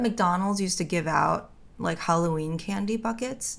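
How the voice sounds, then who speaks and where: A woman's normal speaking voice in an American accent, medium in pitch, at a fairly quick pace with lively intonation. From New York City (Brooklyn, Bensonhurst). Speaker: podcast co-host. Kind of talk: casual chat.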